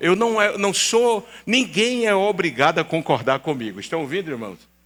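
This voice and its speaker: A man with a high pitch talks at a fairly slow pace in a raised, projected voice, his bright, sharp tone making very wide pitch swings. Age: 70s. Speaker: pastor. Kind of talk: sermon. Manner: animated.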